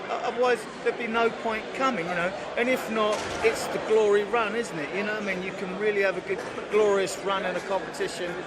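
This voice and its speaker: A man at a fairly quick pace with ordinary pitch variation, noticeable background noise and audible room echo. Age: 60s. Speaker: football fan. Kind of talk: casual chat. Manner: halting.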